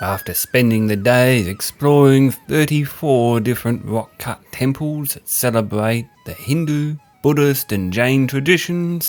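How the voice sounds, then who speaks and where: An Australian accent with hardly any pauses, ordinary pitch variation and big swings in loudness, over music in the background. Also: man, medium pitch for a man, fairly slow pace. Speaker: travel filmmaker and wildlife photographer. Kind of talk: scripted narration.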